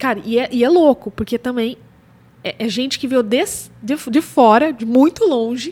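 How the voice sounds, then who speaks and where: A woman with a high pitch and a dark, mellow tone speaks at a moderate pace with ordinary pitch variation. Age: 40s. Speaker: newborn and family photographer, podcast co-host. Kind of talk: casual chat.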